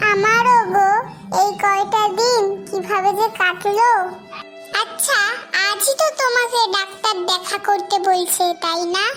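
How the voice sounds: A cartoonish character voice speaks at a fairly slow pace over clear background music. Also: woman, extremely high pitch for a woman.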